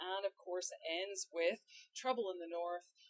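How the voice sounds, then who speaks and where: Fairly quick speech from a woman with a Scottish accent, dry and close with no echo. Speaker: history professor. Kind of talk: casual educational discussion. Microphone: poor audio in this episode.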